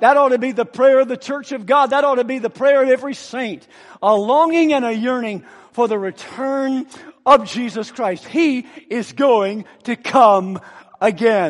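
A man speaks at a moderate pace with ordinary pitch variation. His voice is extremely high in pitch. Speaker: visiting preacher. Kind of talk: sermon. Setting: church. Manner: fervent, rhythmic pulpit delivery with call-and-response; warm, personable, light humor.

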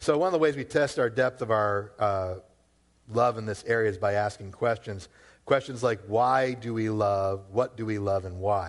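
A man with an American accent and a plain, everyday voice, fairly low in pitch with ordinary pitch variation, at a moderate pace over a quiet background. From Massachusetts, Worcester. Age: 40s. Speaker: pastor. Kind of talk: sermon. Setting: church.

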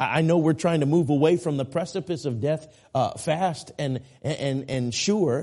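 The man's voice is fairly high in pitch, with a dark, mellow tone. He speaks at a moderate pace. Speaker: traveling evangelist and Bible preacher. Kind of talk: sermon. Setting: church. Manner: earnest, urgent pulpit delivery, direct appeals to the congregation; repetitive, emphatic, halting with restarts and fillers.

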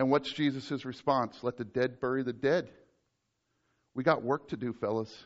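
Using fairly even intonation, a man with a medium pitch talks with long, frequent pauses. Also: moderate pace. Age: 40s. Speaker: pastor. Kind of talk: sermon. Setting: church.

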